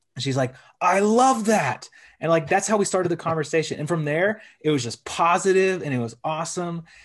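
A man with a Texan accent, high pitch, lively intonation and a fairly quick pace over a quiet background. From Texas. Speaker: podcast co-host. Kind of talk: podcast interview. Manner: casual.

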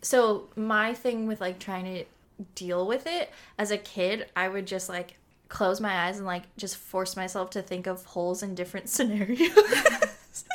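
An ordinary speaking voice proceeds at a fairly slow pace with fairly even intonation. The recording is very clean, with a silent background. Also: woman, medium pitch for a woman. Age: 20s. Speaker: podcast co-host and student. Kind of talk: casual chat.

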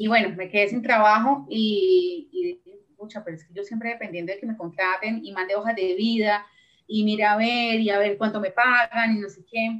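Using a plain, everyday voice, a woman speaks at a moderate pace with a fairly high pitch. Her pitch varies in an ordinary way, while her loudness swings widely. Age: 30s. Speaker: entrepreneur. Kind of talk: interview.

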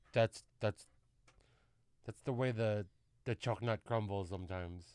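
Speaking with an American accent, a man uses a fairly low pitch and ordinary pitch variation, leaving long, frequent pauses in a dry, close sound with no echo. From Southern California (Carson), Filipino American. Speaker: podcast host. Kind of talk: casual chat.

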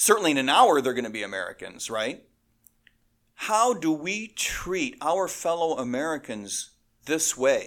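Using an ordinary speaking voice, a man talks at a fairly high pitch with lively intonation on a very clean recording with a silent background. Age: 60s. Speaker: police officer and congressional candidate. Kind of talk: interview.

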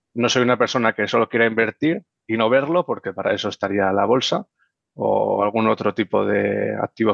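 A man with a Madrid accent speaks at a moderate pace. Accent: Castilian Spanish (Madrid). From Madrid, Spain. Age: 20s. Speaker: real estate investor. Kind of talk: interview.

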